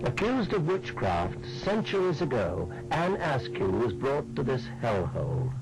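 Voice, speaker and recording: Over noticeable background noise, a man at a medium pitch talks at a fairly slow pace with very wide pitch swings, very even loudness, and hardly any pauses. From England. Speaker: actor, documentary host. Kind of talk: documentary narration.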